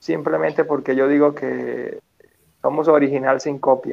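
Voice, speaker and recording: This man has an unremarkable speaking voice at medium pitch. He talks at a fairly slow pace. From Venezuela, Petare (Caracas). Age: 20s. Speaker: physical education teacher and motivational speaker. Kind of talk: interview.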